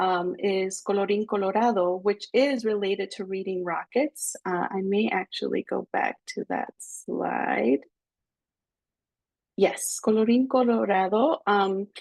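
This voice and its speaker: A woman at medium pitch speaks at a fairly slow pace with ordinary pitch variation, the sound dry and close with no echo. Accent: Spanish. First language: Spanish. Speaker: pediatric fellow. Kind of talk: webinar Q&A. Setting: live webinar.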